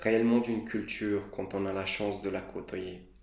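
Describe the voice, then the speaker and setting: Very slowly and in a monotone, flat intonation, a man with a fairly low pitch speaks amid audible room echo. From Moldova. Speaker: student podcaster. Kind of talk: scripted monologue.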